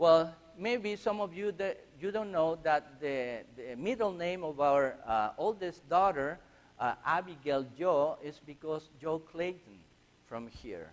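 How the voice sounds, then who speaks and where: A man with a Chilean accent talks very slowly at a high pitch. His intonation is lively. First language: Spanish. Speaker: missionary. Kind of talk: church mission presentation. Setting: church. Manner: halting.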